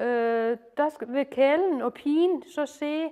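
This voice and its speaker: Speaking with a Lolland accent, a woman uses a high pitch and ordinary pitch variation. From Lolland, Denmark. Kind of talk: informal retelling and explanation. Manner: hesitant, many fillers.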